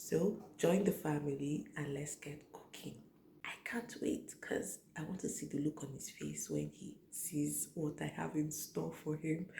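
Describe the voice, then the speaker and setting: Speech comes at a fairly slow rate. The voice is quiet. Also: woman. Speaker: cooking vlogger. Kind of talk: cooking tutorial. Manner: speaking slowly and quietly.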